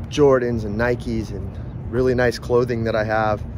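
A man's voice has a dry sound with no echo. Noticeable background noise runs behind it. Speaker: vlogger. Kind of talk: casual vlog chat. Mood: reflective, relaxed. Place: street. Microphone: phone near.

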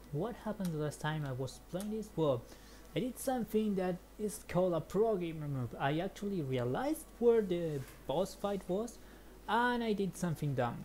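A woman speaks in a Spanish accent at a fairly low pitch and a moderate pace. Her dark, mellow tone is somewhat breathy, with very wide pitch swings. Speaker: gaming streamer. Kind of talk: let's play commentary. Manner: animated.

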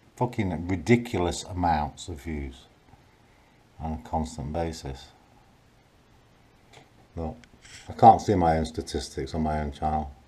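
Very deep and low in pitch, a man talks at a fairly slow pace with long, frequent pauses. His pitch variation is ordinary, and vocal fry runs through his voice. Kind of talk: casual vlog chat, complaining. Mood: frustrated, annoyed. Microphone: phone near.

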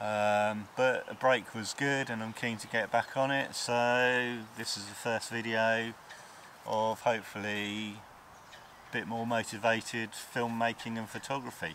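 A man's flat, monotone delivery at a fairly slow pace, dry with no echo, over light background noise. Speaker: photography vlogger. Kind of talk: casual vlog chat. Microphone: lapel.

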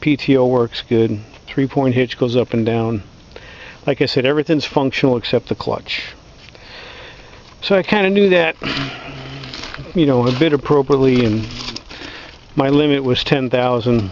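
At a moderate pace, a man speaks with long, frequent pauses, very even loudness and ordinary pitch variation, the sound dry with no echo and light background noise. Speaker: tractor owner doing repair. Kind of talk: casual explanatory walkaround. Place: open country. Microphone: phone near.

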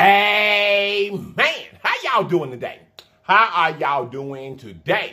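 There is lively intonation in this man's speech. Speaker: food vlogger. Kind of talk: casual vlog chat. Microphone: phone near.

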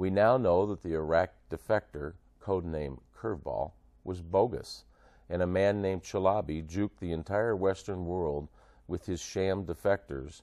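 In a quiet background, a man with an American accent speaks with a very deep, low pitch and a dark, mellow tone. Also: ordinary pitch variation, moderate pace. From United States. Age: 60s. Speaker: war veteran. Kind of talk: spoken commentary to camera. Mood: grave, questioning. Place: studio. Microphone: lapel.

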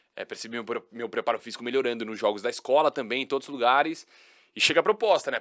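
A man speaks against a quiet background. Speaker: sports TV commentator. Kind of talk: casual chat. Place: studio. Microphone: studio mic.

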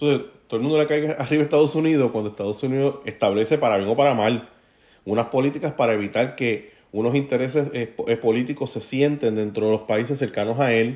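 Over a silent background in a very clean recording, a man speaks at a very fast pace with medium pitch and ordinary pitch variation. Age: 40s. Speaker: podcast host, political commentator. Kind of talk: solo commentary monologue. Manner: casual, conversational with fillers.

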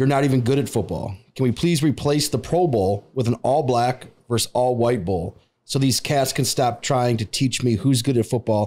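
Speaking at a moderate pace, a man keeps a very even loudness with ordinary pitch variation. His tone is dark and mellow. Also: medium pitch for a man. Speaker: podcast guest or host. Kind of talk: casual conversational interview. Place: studio. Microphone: studio mic.

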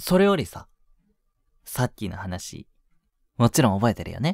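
A man puts on a character voice, fairly low-pitched with vocal fry and big pitch swings. The sound is dry and close with no echo, on a very clean recording over a silent background. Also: fairly slow pace, slightly mellow tone.

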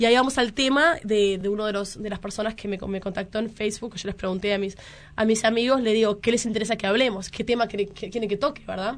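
A woman talks very fast at a fairly high pitch, keeping her intonation fairly even. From Uruguay, Montevideo. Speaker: journalist and documentary maker. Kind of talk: radio interview.

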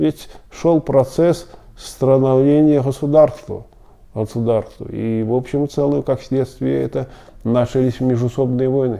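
Over a quiet background, a man talks at a fairly slow pace. His tone is dark and mellow, and his intonation fairly even. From Belarus, Smilovichi near Minsk; Belarus. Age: 70s. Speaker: Belarusian Tatar elder interviewee; interviewee. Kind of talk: oral history interview. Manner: halting, many filler sounds. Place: office.

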